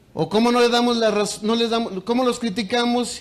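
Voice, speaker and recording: A man with a Mexican accent, animated in tone, at a moderate pace amid audible room echo. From Mexico. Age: 60s. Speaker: teachers' union leader. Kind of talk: conference speech. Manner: animated, repetitive emphasis.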